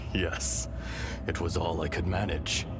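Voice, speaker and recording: A cartoonish character voice moves at a fairly slow pace through loud background noise. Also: man, very deep, low pitch for a man. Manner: gentle, thoughtful.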